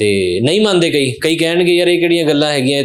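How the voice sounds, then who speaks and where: A man speaks at a moderate pace with a Punjabi accent and ordinary pitch variation. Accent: Punjabi-accented Hindi. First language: Punjabi (speaking Hindi). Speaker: podcast host. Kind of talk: casual interview chat.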